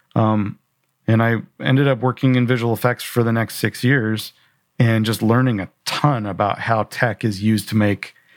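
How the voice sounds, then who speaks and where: Here a man with an American accent speaks at a moderate pace and medium pitch with fairly even intonation. The recording is very clean, with a silent background and dry, close sound with no echo. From Southern California. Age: 40s. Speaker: video production company founder and director. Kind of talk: interview conversation.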